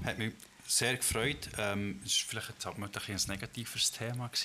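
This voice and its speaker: Medium male pitch, ordinary variation in pitch, moderate speed, a normal speaking voice from a man. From Switzerland, Bern area (Ostermundigen) and Düdingen. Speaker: podcast co-host. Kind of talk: casual chat.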